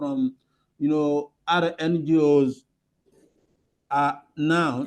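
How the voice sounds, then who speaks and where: A fairly high-pitched male voice with a French accent, dark and mellow in tone, against a quiet background. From Burkina Faso. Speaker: conference participant asking a question. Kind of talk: audience question. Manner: hesitant, non-fluent English.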